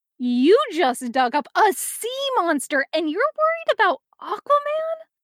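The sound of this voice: A woman puts on a character voice at an extremely high pitch with big pitch swings. Her fairly bright tone comes at a fairly slow pace, dry and close with no echo.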